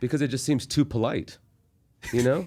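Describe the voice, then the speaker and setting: This man talks at a very fast clip in a medium pitch, with vocal fry and an American accent. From Texas. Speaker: stand-up comedian. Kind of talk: casual chat. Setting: studio.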